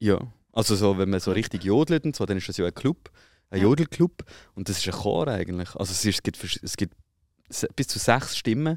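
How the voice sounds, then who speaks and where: A man with fairly low pitch talks at a moderate pace, with long, frequent pauses and lively intonation. The recording is very clean with a silent background and a dry, close sound with no echo. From Switzerland. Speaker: podcast host. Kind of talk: casual chat.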